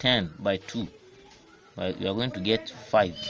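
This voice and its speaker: A man with an African accent talks at a moderate pace against noticeable background noise. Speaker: maths teacher. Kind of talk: maths lesson explanation.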